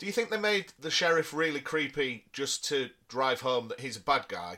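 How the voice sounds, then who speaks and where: Speaking with a Yorkshire accent, a man uses a bright, sharp tone at a fairly high pitch, moving at a moderate pace with very wide pitch swings. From Yorkshire, northern England. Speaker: podcast co-host. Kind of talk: casual chat.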